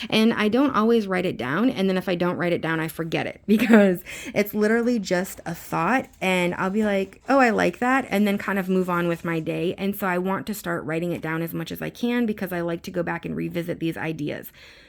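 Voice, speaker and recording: Her speech runs at a fairly quick pace with hardly any pauses, a woman at medium pitch with ordinary pitch variation. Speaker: planner vlogger, mom. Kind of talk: casual chat. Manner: fast.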